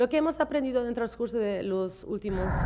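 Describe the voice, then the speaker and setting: Against noticeable background noise, a woman with a non-native accent speaks at a moderate pace in a fairly high pitch. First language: not Spanish (speaking Spanish). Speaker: TV show host. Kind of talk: interview. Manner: halting.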